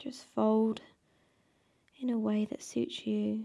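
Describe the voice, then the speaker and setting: A soft-spoken woman talks at a very slow pace in a gentle, soothing tone. The background is quiet. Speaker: yoga instructor. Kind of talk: guided mindful movement class, like a guided meditation. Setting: video class, home studio. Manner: soft, slow, soothing and calm; gentle, encouraging, unhurried with pauses. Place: home room.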